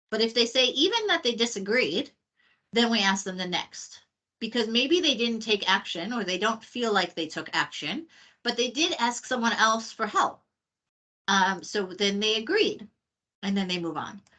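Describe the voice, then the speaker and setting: A woman with an American accent speaks in a fairly high pitch, her bright, sharp tone moving with lively intonation over a quiet background. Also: moderate pace. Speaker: trainer. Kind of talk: online training session.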